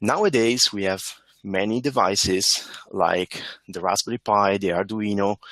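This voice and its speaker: A man with an Italian accent speaks at a fairly low pitch, his voice dry and close with no echo. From Italy. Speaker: embedded software engineer, conference speaker. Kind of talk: conference talk. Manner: hesitant, with fillers.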